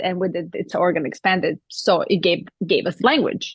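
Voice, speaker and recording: A woman at medium pitch, speaking at a moderate pace. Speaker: spiritual discussion co-host. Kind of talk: casual spiritual conversation.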